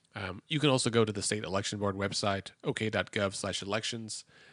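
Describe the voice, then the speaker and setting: Mumbling at a fairly quick pace, a man speaks with an American accent. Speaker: podcast co-host. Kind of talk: casual chat. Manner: fast.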